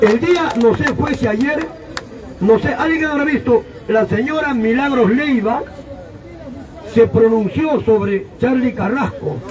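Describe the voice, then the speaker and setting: An animated man's extremely high voice with a Peruvian accent and lively intonation, at a fairly slow pace over crowd noise in the background. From Peru, Ancash. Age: 70s. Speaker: political commentary show host. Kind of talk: political talk show.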